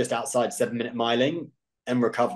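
Over a quiet background, a man speaks with a British accent. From UK. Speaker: professional ultrarunner. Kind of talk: interview. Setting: video call. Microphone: video call.

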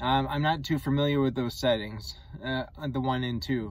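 A man at a medium pitch, with fairly even intonation and a moderate pace.

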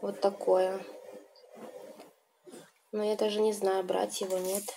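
A woman's relaxed, monotone voice with flat intonation, a very slow pace, and light background noise. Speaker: video blogger. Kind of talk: casual talk to camera. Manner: relaxed, chatty. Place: home room. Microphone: phone near.

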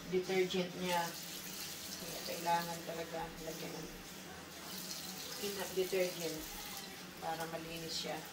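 A woman's very slow delivery with long, frequent pauses, set against loud background noise. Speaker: home vlogger. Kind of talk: casual vlog chat. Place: home room. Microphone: camera far.

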